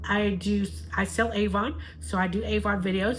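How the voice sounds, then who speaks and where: A woman with a Southern US accent talks over noticeable background noise. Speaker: YouTuber and Avon seller. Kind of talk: casual video outro; reading aloud.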